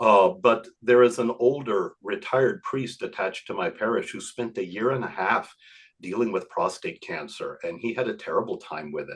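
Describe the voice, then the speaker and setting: Here a man talks at a moderate pace. His loudness swings in big jumps. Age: 60s. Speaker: priest. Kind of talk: casual chat.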